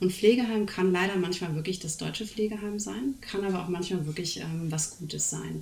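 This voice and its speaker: With audible room echo and noticeable background noise, a woman talks at a fairly quick pace in a fairly low voice with ordinary pitch variation. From Germany. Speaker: speech therapist. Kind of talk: casual chat.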